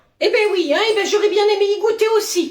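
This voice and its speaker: An extremely high-pitched, put-on character voice at a fairly quick pace. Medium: voice reel. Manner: exasperated.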